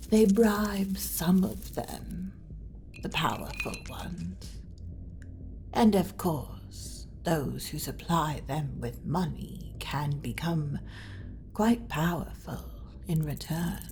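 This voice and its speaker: A woman performs a put-on character voice at a very slow pace. Long, frequent pauses break up her speech. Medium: audio drama. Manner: polite, suave, dryly witty.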